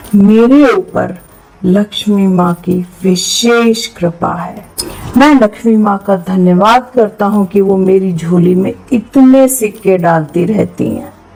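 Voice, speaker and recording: Over noticeable background noise, a woman speaks in a calm tone at a medium pitch with ordinary pitch variation. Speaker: happiness coach. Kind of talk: affirmation meditation read. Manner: slow, calm.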